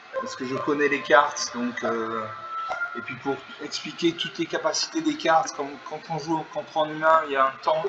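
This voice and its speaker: Music plays in the background as a man talks at a fairly high pitch with ordinary pitch variation. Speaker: gaming YouTuber. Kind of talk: live game commentary. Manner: fast.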